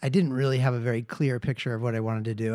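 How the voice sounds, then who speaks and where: The recording is very clean, with a silent background. A man speaks in an unremarkable speaking voice at medium pitch, with fairly even intonation. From Seattle, US. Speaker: musician and emergency nurse. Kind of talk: casual interview chat.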